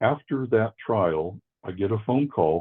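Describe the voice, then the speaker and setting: With an American accent, a man talks in an unremarkable speaking voice, fairly low in pitch, with lively intonation. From US Northeast, Worcester, Massachusetts. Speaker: forensic psychiatrist. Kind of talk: interview.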